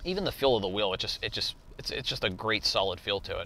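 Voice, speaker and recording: The speech runs at a very fast pace with a dry sound and no echo. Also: man. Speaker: car salesman. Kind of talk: product review commentary. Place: car.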